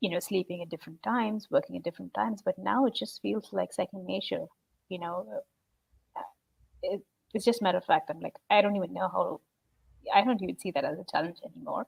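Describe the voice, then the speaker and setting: A woman with an Indian accent talks at a very fast pace with long, frequent pauses, recorded dry and close with no echo. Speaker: salesperson. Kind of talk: live video interview. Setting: live video stream.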